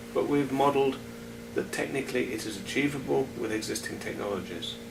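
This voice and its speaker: Noticeable background noise sits behind a man with a British accent talking at a fairly quick pace. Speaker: sustainability expert. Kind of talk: interview answer.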